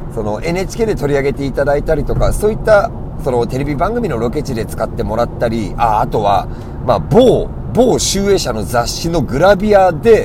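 Over noticeable background noise and audible room echo, a man with a fairly high voice speaks at a moderate pace with very wide pitch swings. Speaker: game arcade clerk and podcast host. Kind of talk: casual solo talk. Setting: in a car. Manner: loud, raised voice.

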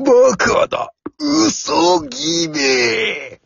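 In a put-on character voice, the speaker uses vocal fry, a fairly bright tone with a slightly husky edge, and big pitch swings. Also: very slow pace.

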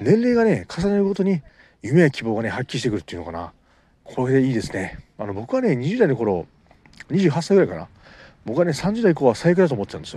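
Talking at a very fast pace, a man with a fairly high pitch and a dark, mellow tone swings very widely in pitch and makes big jumps in loudness. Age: 30s. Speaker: amateur podcaster and novelist. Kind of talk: casual monologue. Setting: outdoors at a beach. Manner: halting, many fillers.

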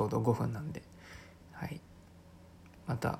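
This man's medium-pitched voice shows vocal fry and ordinary pitch variation. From Chiba, Japan. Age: 20s. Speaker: podcaster and aspiring actor. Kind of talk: casual solo talk. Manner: hesitant, many fillers.

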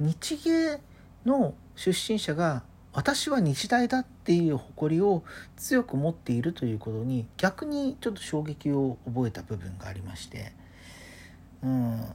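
A woman's somewhat breathy, dark, mellow voice with a relaxed tone, fairly low pitch and very wide pitch swings, at a fairly slow pace, in a very clean recording with a silent background. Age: 30s. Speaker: podcaster. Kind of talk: solo casual monologue. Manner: relaxed, chatty.

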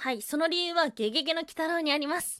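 A woman with an extremely high pitch speaks at a very fast pace in a raised, projected voice, her intonation lively, in a very clean recording with a silent background. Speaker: solo podcast host. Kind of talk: casual solo talk on folklore. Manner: casual, laughs often.

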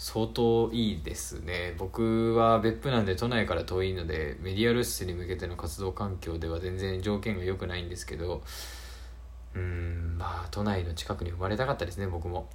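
Over noticeable background noise and audible room echo, a man with a very deep, low voice talks at a moderate pace in a calm tone with lively intonation. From Beppu, Oita, Japan. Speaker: podcast host. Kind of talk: casual solo talk.

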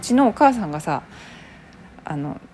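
A woman with a slight Hyogo accent, at a moderate pace, with very wide pitch swings. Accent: soft Kansai (Hyogo) dialect. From Kobe, Hyogo, Japan. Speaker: actor and solo podcaster. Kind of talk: casual solo talk.

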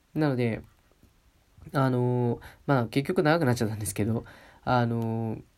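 A man with a medium-pitched voice talks at a moderate pace, leaving long, frequent pauses. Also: ordinary pitch variation. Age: 20s. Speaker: podcast host. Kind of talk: solo casual talk. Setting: at home, alone. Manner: polite, hesitant with fillers.

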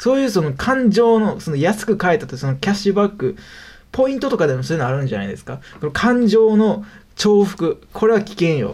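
In a Kansai accent, the speaker moves at a fairly quick pace with very wide pitch swings and big swings in loudness. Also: man, high pitch for a man. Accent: Kansai Japanese. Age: 20s. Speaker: web freelancer, podcast host. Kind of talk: solo casual talk radio. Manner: rambling with many fillers.

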